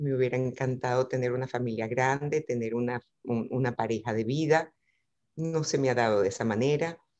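Fairly even intonation at a fairly quick pace. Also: woman, very deep, low pitch for a woman. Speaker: coach. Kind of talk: interview answer. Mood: reflective, personal, warm. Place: home room. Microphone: video call.

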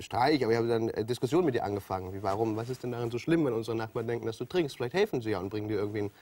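A man speaks at a very fast pace in a dark, mellow tone. His pitch varies in an ordinary way. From Hamburg. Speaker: TV presenter and comedian. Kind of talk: talk show interview answer. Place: studio. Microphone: lapel.

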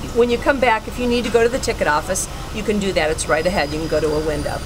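Over noticeable background noise, a woman speaks at a very fast pace. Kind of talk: giving directions. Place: car. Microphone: camera far.

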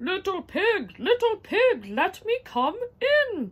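A put-on character voice, extremely high and squeaky yet growling, moves at a very slow pace. Its pitch swings very widely. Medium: read story.

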